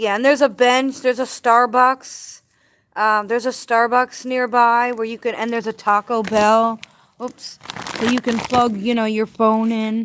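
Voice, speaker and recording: A woman's fairly high voice at a moderate pace, in a monotone, flat intonation. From New Jersey. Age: 40s. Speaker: homeless livestreamer. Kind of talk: casual livestream chat. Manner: halting.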